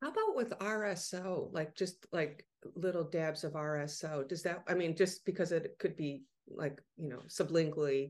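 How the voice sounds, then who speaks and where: Her pitch fairly low for a woman, this speaker has a plain, everyday voice and ordinary pitch variation. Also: moderate pace. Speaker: podcast host, cannabis marketer. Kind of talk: casual interview.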